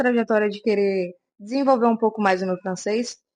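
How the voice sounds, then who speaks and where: A woman talks at a moderate speed. Behind her, all is quiet. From Brazil. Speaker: vlogger. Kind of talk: casual vlog talk to camera.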